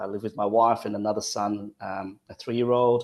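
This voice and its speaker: A fairly low-pitched man with an Australian accent and fairly even intonation. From Western Australia. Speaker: father, peer support mentor. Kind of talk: panel discussion.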